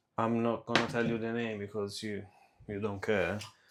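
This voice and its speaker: A man's medium-pitched voice with an Italian accent. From Italy. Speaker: cooking vlogger. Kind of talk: casual vlog chat while cooking. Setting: home kitchen.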